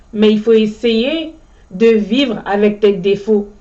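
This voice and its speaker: Her pace is very slow and her pitch fairly high. This woman speaks with a non-native accent. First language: Ndyuka (Djuka) (speaking French). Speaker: motivational vlogger. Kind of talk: motivational monologue. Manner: halting, frequent repetitions.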